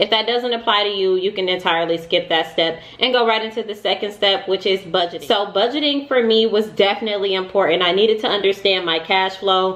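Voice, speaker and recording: Amid noticeable background noise, a woman speaks at a fairly quick pace with hardly any pauses, medium pitch and ordinary pitch variation. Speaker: money vlogger. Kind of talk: casual advice vlog. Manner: fast.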